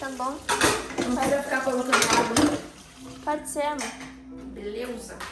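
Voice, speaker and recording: A moderate pace against loud background noise, with audible room echo. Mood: playful, teasing. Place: kitchen. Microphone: phone near.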